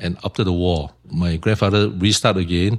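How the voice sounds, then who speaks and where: A man with a Singaporean accent and a very deep, low pitch speaks at a moderate pace with fairly even intonation. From Singapore, Tiong Bahru. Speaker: shop owner. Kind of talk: interview.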